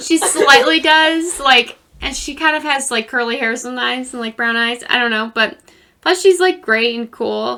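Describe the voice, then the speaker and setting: A woman speaks in a raised, projected voice at a moderate pace. Her pitch is high, and her intonation is lively. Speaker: podcast co-host. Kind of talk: casual chat. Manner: loud.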